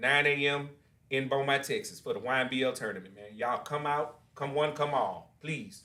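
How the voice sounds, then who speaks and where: A loud man speaks with a fairly high pitch and a bright, sharp tone, his pitch varying in an ordinary way. Room echo is audible. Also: moderate pace. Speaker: podcast host. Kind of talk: casual interview.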